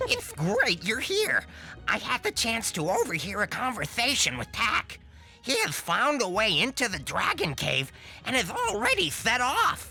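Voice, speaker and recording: Over faint music in the background, a put-on character voice speaks at a moderate pace in a fairly high pitch. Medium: video game. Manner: earnest.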